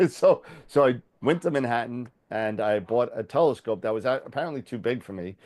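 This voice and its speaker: A man at a medium pitch, fairly quick in pace, with ordinary pitch variation. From Long Island, New York. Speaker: telescope business owner. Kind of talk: interview. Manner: halting, many fillers.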